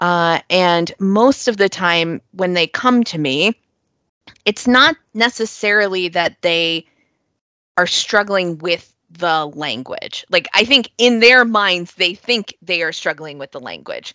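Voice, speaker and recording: Very slowly, a woman with a Mid-Atlantic American accent speaks in a bright, sharp tone at a medium pitch, with lively intonation and a dry, close sound with no echo. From New York / Northern Virginia, US. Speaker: English language coach. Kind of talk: casual interview.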